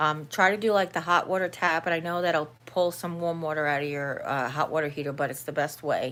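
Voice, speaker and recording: Someone with an American accent speaks at a fairly quick pace and with fairly even intonation on a very clean recording with a silent background. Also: woman. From New York. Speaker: vlogger. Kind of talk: casual live-stream chat. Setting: live stream at home.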